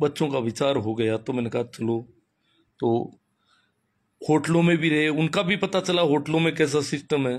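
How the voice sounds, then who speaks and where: A man speaks at a fairly high pitch with ordinary pitch variation and long, frequent pauses. The recording is very clean, with a silent background. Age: 50s. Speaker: schoolteacher and social commentator. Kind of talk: live-stream talk. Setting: Facebook live. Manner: animated.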